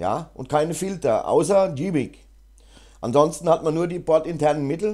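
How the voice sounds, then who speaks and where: This man's voice sits at a fairly high pitch, with vocal fry and ordinary pitch variation at a moderate pace. The recording is very clean, with a silent background. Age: 50s. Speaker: GIMP tutorial YouTuber. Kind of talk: tutorial; casual chat. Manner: hesitant, many fillers.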